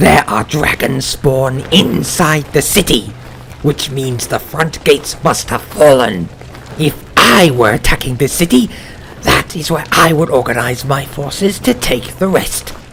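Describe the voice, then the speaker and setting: A put-on character voice from a man, fairly high in pitch, at a moderate pace, over clear background noise. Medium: read story. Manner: forceful.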